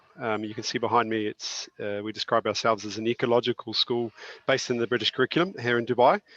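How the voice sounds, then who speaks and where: In a New Zealand accent, a man at medium pitch talks very fast with fairly even intonation, the sound dry and close with no echo. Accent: New Zealand accent, still audible. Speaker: school principal. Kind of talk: webinar panel discussion.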